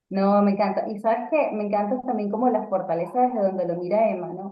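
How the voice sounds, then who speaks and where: Audible room echo surrounds a woman speaking at a fairly quick pace, her fairly high pitch showing ordinary variation. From Venezuela. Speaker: radio announcer and communication coach. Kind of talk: casual interview chat.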